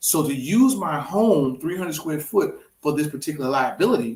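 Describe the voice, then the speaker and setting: A man with a fairly high pitch speaks at a fairly quick pace, somewhat breathy. His tone is animated and his intonation lively. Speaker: real estate investor. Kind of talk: casual chat. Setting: studio. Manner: fast.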